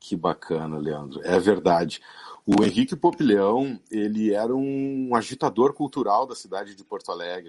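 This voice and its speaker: A man's fairly low voice at a moderate pace, with very wide pitch swings and big swings in loudness against a quiet background. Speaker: football club historian. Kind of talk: interview.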